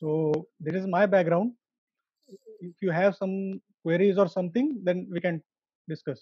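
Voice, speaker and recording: A man with an Indian accent speaks at a high pitch and a moderate pace, with ordinary pitch variation and long, frequent pauses. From Pune, India. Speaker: engineer. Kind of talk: casual chat.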